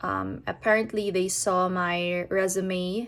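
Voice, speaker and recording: Flat and monotone, a woman's medium-pitched voice comes through a very clean recording with a silent background. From Philippines, Manila. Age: 30s. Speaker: banking risk manager. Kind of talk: personal introduction. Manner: hesitant fillers.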